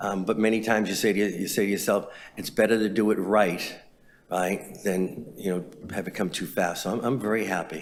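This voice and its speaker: Talking at a fairly quick pace, a man keeps a fairly low pitch and fairly even intonation. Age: 60s. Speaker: transit agency chief executive. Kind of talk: press scrum answers. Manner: halting, many fillers and repeats.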